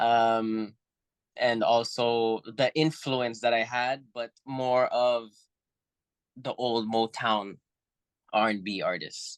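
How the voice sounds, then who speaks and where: In a quiet background, a man of medium pitch speaks very slowly with fairly even intonation and long, frequent pauses. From Spain then Canada from age nine (Montreal). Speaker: musician. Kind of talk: interview. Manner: casual, many fillers.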